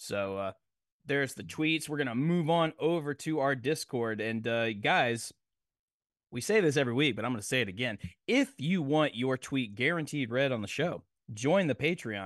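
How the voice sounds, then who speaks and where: At a moderate pace and medium pitch, a man talks in a normal speaking voice with lively intonation over a quiet background. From Nashville, Tennessee, US South. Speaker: podcast co-host. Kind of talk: casual chat.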